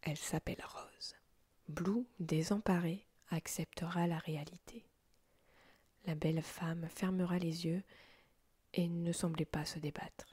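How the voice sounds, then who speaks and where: Soft-spoken and somewhat breathy, a woman talks at a very slow pace with long, frequent pauses, her fairly low pitch carrying a dark, mellow tone and fairly even intonation. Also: dry, close sound with no echo. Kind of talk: story reading with character voices. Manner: low-voiced, soft.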